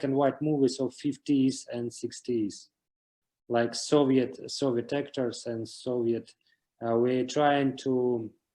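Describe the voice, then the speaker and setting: A man with a Russian accent talks very slowly in a dark, mellow tone at medium pitch, his intonation fairly even. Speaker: series creator. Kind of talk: interview. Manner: halting.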